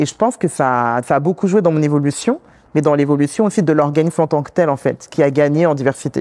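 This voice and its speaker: A woman's very deep, low voice at a very fast pace, with ordinary pitch variation, a quiet background, and a dry, close sound with no echo. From France, Congolese background. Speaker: community worker, immigrant woman. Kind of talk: interview conversation. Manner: hesitant, many fillers.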